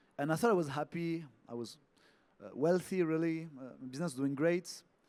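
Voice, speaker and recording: With a French accent, a man speaks at a fairly high pitch. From France. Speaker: yoga teacher. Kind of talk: talk.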